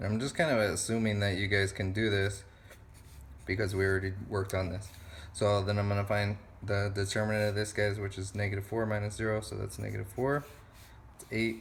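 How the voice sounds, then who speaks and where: Amid audible room echo, a man speaks at a fairly quick pace, his voice fairly low in pitch, somewhat breathy and fairly even in intonation. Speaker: math teacher. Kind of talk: tutorial. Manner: casual.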